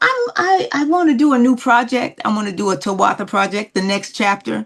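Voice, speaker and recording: With an American accent, the speaker moves at a fairly quick pace through very wide pitch swings against noticeable background noise. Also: woman, fairly high pitch for a woman. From Newark, New Jersey. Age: 70s. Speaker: singer. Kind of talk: interview. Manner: halting.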